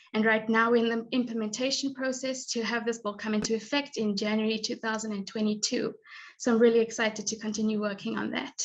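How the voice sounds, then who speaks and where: At a very fast pace, a woman speaks in a somewhat breathy, fairly high voice with monotone, flat intonation. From South Africa. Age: 20s. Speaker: graduate student and scholarship recipient. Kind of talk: presentation.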